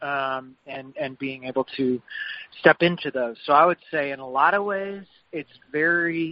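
A fairly slow, fairly high-pitched man with a West Texas accent. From West Texas (Lubbock). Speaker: chef and restaurant owner. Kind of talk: interview.

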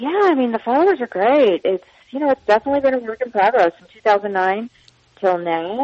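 A woman with an American accent talks fairly quickly with lively intonation in a plain, everyday voice. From Long Island, New York. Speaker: cookbook author and lifestyle blogger. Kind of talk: interview.

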